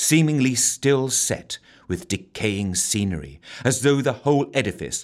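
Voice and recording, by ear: The voice sounds natural. The speaker is reading aloud.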